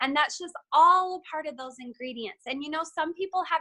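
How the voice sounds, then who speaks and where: A woman's raised, projected voice, high-pitched with ordinary pitch variation, bright and sharp in tone, with a dry, close sound and no echo. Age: 30s. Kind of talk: motivational talk.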